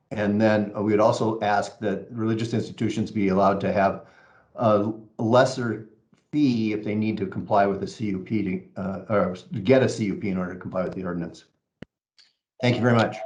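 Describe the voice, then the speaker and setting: With audible room echo, a man speaks at a fairly quick pace, his pitch fairly low and his intonation fairly even. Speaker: member of the public giving testimony. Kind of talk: public comment. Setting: video call. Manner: fast; hesitant with fillers.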